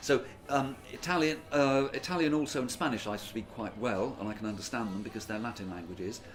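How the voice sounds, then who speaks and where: A man's medium-pitched voice in a southern English accent, fairly quick with hardly any pauses and lively intonation, against noticeable background noise. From England (born Yorkshire, raised Oxford). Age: 60s. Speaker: English teacher and former exam examiner. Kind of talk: interview. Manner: hesitant, with fillers.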